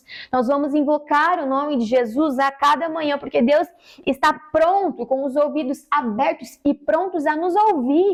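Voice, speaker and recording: A woman speaks here. Her pitch is high and her pace fairly slow. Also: ordinary pitch variation. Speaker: preacher. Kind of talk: sermon.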